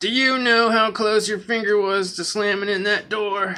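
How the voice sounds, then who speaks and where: A man uses a put-on character voice, high in pitch, with monotone, flat intonation. Light background noise is present. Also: moderate pace. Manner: creepy, menacing; scolding.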